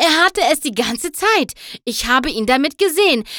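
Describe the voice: Putting on a character voice, a woman talks at a moderate pace in a high pitch, with a bright, sharp tone and big pitch swings. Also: very clean recording, silent background.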